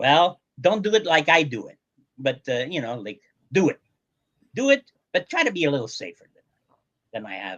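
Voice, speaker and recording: With vocal fry and a fairly high pitch, a man speaks at a moderate pace, his pitch swinging very widely and his loudness rising and falling sharply, with long, frequent pauses in a dry, close sound that has no echo. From Portugal. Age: 70s. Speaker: motorcyclist. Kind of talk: interview. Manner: halting.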